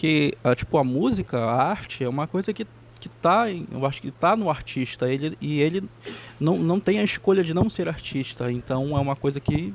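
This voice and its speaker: A man talks at a moderate pace in a fairly high pitch, his intonation lively, while noticeable background noise carries on behind him. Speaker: musician. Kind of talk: interview. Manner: halting, many repetitions.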